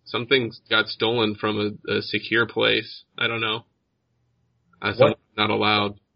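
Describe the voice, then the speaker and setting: Putting on a raspy character voice at a fairly low pitch, a man speaks at a moderate pace with long, frequent pauses. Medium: actual play. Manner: blunt, urgent, profane.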